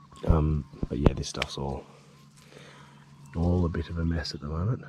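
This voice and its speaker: Quiet and at a moderate pace, a man speaks with a very deep, low pitch, ordinary pitch variation and big swings in loudness over noticeable background noise. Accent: Australian. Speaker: outdoor cooking vlogger. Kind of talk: casual vlog. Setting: outdoors at a campsite.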